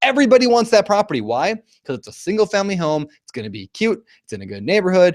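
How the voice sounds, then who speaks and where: A man talks at a very fast pace, his pitch swinging very widely. The sound is dry and close, with no echo. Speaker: real estate investor and educator. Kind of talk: webinar presentation. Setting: live online broadcast. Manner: energetic.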